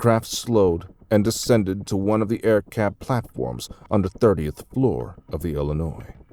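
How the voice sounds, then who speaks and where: With music in the background, the speaker uses an American accent, lively intonation and a moderate pace. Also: man. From Texas. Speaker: audiobook narrator. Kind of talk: audiobook story narration.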